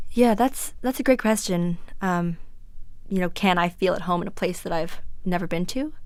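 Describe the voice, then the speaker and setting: A woman with an American accent talks at a moderate pace and medium pitch. She has a plain, everyday voice with ordinary pitch variation. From United States. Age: young. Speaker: student. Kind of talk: interview answer. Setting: radio interview.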